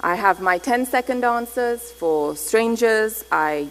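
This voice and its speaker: A woman speaks over noticeable background noise. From Pakistan, Thailand and England (Karachi, Bangkok, London). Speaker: anthropologist and researcher. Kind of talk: conference lecture.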